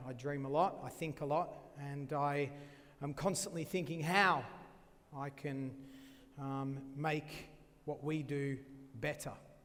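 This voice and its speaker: His voice sits fairly high for a man, and this male speaker keeps his intonation fairly even. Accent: Australian. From Australia. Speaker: chef. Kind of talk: cooking demonstration talk.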